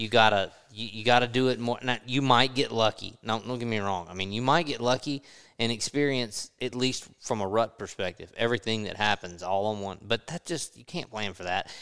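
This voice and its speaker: On a very clean recording with a silent background, a man with a Southern US accent talks at a fairly quick pace, at medium pitch with ordinary pitch variation. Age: 40s. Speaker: podcast host. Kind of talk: casual chat. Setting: hunting lodge.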